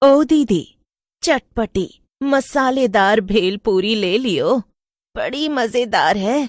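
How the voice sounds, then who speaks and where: A woman uses a cartoonish character voice at a fairly high pitch. She speaks very slowly. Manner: teasing, mocking.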